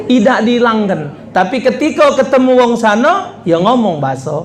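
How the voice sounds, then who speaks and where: With a Palembang accent, the speaker talks at a moderate pace in an animated tone, swinging very widely in pitch, with crowd noise in the background and audible room echo. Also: man. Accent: Palembang Malay. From Indonesia, Palembang (South Sumatra). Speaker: Islamic preacher. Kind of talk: humorous sermon.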